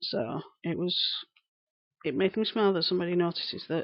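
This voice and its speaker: The speaker has a strong Lancashire accent and fairly even intonation. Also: woman. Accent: broad Lancashire. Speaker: live streamer. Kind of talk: casual chat. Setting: live stream. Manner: articulate.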